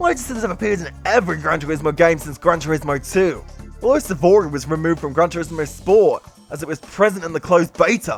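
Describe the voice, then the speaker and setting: Music plays behind the speech. The man talks very fast. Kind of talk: casual talk to camera. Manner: fast, stammering.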